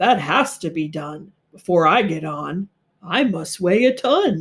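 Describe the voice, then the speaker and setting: A woman's put-on character voice, medium in pitch and fairly slow in pace. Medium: read story. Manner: earnest, good-natured.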